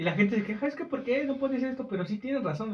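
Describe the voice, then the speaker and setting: A man speaks with a Mexican accent. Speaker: podcast co-host. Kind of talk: casual chat.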